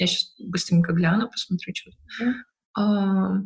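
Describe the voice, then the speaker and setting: Very slowly, a woman speaks at a medium pitch. Her intonation stays fairly even. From Ukraine, Odesa. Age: 20s. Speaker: UX/UI designer. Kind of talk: online interview.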